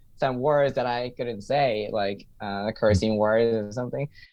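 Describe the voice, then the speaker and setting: He speaks at a fairly slow pace. The man has a Japanese accent. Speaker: stand-up comedian and English teacher. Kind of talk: interview answer.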